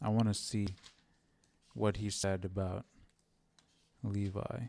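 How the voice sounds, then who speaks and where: Speaking at a very slow pace, a man with a fairly low pitch has a dark, mellow tone and fairly even intonation. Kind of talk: casual Bible study commentary. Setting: live stream.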